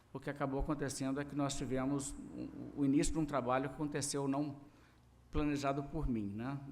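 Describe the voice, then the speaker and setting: In a fairly high voice with a Minas Gerais accent, a man speaks at a fairly quick pace in a flat monotone, with audible room echo around him. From Brazil, Minas Gerais. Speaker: pastor. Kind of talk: sermon. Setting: church service.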